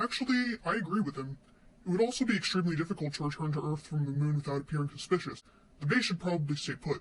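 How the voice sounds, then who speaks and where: A man puts on a character voice with a fairly high pitch. He talks at a very fast pace. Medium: audio drama. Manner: calm, polite, reasonable.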